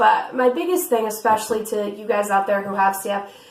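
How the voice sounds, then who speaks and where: Room echo can be heard around the voice. She, a woman, keeps a moderate pace. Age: young. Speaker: vlogger with cystic fibrosis. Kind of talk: casual chat.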